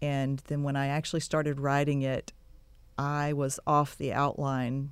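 With an American accent, a woman speaks at a moderate pace in a very deep, low pitch and a monotone, flat intonation. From Texas Gulf Coast. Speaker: romance novelist and dentist. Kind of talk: radio interview. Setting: studio.

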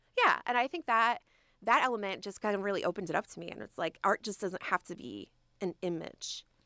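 Recorded with a dry, close sound and no echo, a woman with an American accent speaks at a fairly quick pace in a medium pitch, her bright, sharp tone touched by vocal fry, with ordinary pitch variation and big swings in loudness. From New Jersey, Trenton. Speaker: museum education curator. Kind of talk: radio interview. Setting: studio.

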